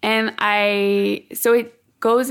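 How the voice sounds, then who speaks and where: With a French accent, a woman is talking. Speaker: author and literary translator. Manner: halting, hesitant with fillers.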